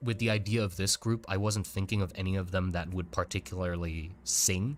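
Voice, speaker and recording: Recorded very cleanly against a silent background, a man with a fairly low voice talks at a moderate pace with ordinary pitch variation. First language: German. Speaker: artist streaming. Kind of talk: casual livestream chat. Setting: livestream. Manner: halting.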